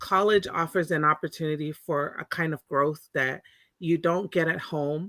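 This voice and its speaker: A woman speaks with a Californian accent in a fairly low pitch. Her tone is bright and sharp, and the sound is dry and close with no echo. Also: moderate pace. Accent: Californian American English. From Monterey, California (born in Tonga). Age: 40s. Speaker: Pacific Islander community advocate. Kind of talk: interview conversation.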